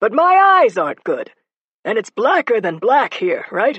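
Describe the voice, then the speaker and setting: This is a put-on character voice with a high pitch. It moves at a moderate pace. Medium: read story. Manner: deadpan.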